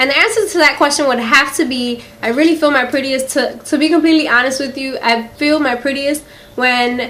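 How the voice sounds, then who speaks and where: A high-pitched woman at a fairly quick pace with an American accent, amid noticeable background noise and audible room echo. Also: ordinary pitch variation. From US Northeast, Philadelphia. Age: 20s. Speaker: beauty vlogger. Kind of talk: casual Q&A vlog. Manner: chatty, many fillers.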